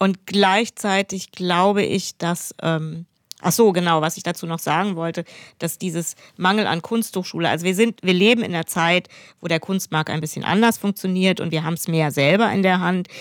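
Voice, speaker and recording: On a very clean recording with a silent background, a woman has a normal speaking voice at a medium pitch. She talks at a moderate pace in a dry, close sound with no echo. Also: fairly even intonation. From Hesse, near Frankfurt. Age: 50s. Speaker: painter and illustrator. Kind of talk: interview conversation.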